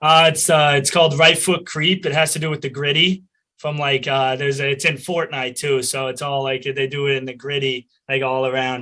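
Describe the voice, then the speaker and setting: A man with a Boston accent talks fairly quickly at a medium pitch. His tone is bright and sharp, his intonation monotone and flat. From Boston area, US Northeast. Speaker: college lacrosse player. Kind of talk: interview.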